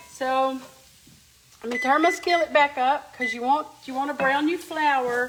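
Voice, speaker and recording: Over noticeable background noise, a woman with an Appalachian accent talks at a fairly slow pace in a high pitch, her intonation fairly even and broken by long, frequent pauses. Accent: Appalachian Southern American. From US South, Appalachian Kentucky (Letcher County). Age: 50s. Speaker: home cook, cooking channel host. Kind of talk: live cooking demonstration. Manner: casual, chatty.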